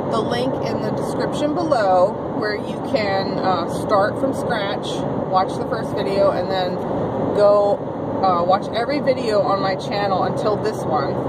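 The speech moves at a fairly slow pace in a dry sound with no echo. Loud background noise runs underneath. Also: woman. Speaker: vlogger. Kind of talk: casual vlog chat. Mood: upbeat, excited about giveaway. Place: car. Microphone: phone near.

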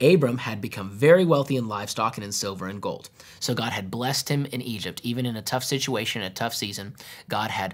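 Using ordinary pitch variation, a man speaks at a very fast pace. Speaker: pastor teaching. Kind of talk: Bible teaching. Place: studio.

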